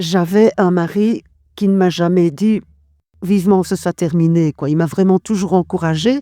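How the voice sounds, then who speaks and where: Over a silent background in a very clean, dry, close recording with no echo, a woman with a medium-pitched, dark, mellow tone speaks at a fairly slow pace, her pitch varying in an ordinary way while her loudness swings widely. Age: 60s. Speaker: cancer survivor. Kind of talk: testimony. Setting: recorded at a charity relay event.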